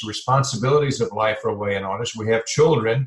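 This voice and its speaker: A man speaks in a somewhat breathy voice with fairly even intonation. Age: 70s. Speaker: health and life transition coach. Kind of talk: podcast interview. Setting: podcast. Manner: halting, with fillers.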